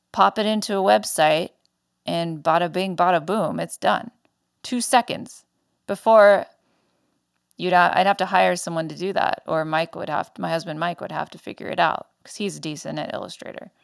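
A woman speaks at a fairly low pitch and a moderate pace, with vocal fry, ordinary pitch variation and big swings in loudness. The sound is dry and close with no echo, in a very clean recording over a silent background. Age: 30s. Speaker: podcast host and small business owner. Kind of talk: casual solo monologue.

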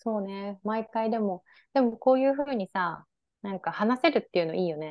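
A woman speaks at a fairly quick pace in a plain, everyday voice. Her pitch is fairly high and her intonation is lively. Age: 30s. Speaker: podcast co-host. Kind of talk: casual chat.

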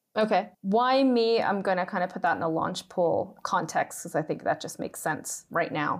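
Speaking with a Maritime Canadian accent, a woman keeps a moderate pace with ordinary pitch variation. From Canada, Nova Scotia. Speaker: startup executive. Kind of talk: casual interview.

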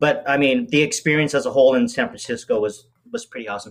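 Fairly quick and fairly high-pitched, a man's voice moves through very wide pitch swings. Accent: American. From Las Vegas, Nevada. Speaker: pastry chef and bakery owner. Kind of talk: casual interview chat.

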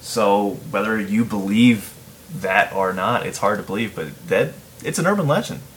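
Speaking with an American accent, a man keeps a moderate pace at a fairly low pitch with lively intonation. Noticeable background noise runs underneath. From Chicago region, US Midwest. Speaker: podcast host. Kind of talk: casual chat.

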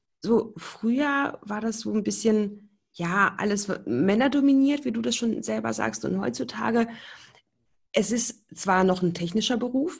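Her medium-pitched voice carries lively intonation and vocal fry as this woman talks at a fairly slow pace. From Berlin, Germany. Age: 20s. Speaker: hearing aid acoustician. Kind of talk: podcast interview.

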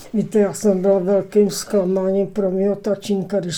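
Against noticeable background noise, a woman speaks at medium pitch and a moderate pace, her intonation monotone and flat. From Czechia, Prague area (Klánovice). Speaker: local elder recounting memories. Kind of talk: interview reminiscence. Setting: studio. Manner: halting, repetitive.

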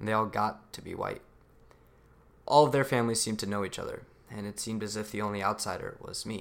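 With an American accent, a man talks at a very fast pace in a fairly low pitch, his intonation fairly even and his speech broken by long, frequent pauses. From US, son of Pakistani immigrants. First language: Urdu. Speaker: student speaker. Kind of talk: prepared speech. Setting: stage with audience.

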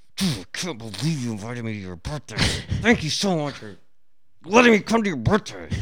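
A man puts on a character voice at a medium pitch, with very wide pitch swings. His loudness jumps around a lot, and clear background noise runs underneath. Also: fairly quick pace. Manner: mocking, sarcastically grateful.

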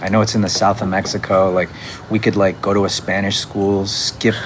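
A man speaks at a moderate speed while noticeable noise fills the background. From Canada. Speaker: musician. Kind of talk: casual chat. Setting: home.

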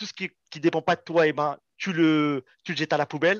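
A man with an unremarkable speaking voice talks at a moderate pace in a fairly high pitch. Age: 30s. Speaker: soldier and poker player. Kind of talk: casual interview.

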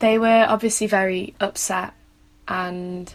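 A woman with a Mancunian accent, very slow and flat in a monotone. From Manchester, England. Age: 20s. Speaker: student and mental health blogger. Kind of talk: personal testimony interview.

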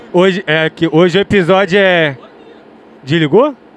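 A man speaks with lively intonation. Crowd noise can be heard in the background. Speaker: host. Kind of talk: casual chat. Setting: home studio. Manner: casual, slangy.

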